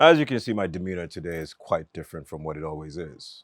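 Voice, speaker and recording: A man's very deep, low voice with an American accent at a moderate pace, in a very clean recording with a silent background. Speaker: talk show host. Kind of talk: casual interview chat. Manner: animated.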